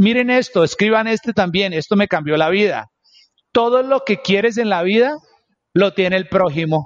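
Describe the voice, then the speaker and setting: The speech moves at a moderate pace with very even loudness. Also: man, high pitch for a man, ordinary pitch variation. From New York, Queens. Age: 40s. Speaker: entrepreneur. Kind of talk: interview. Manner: code-switching Spanish and English.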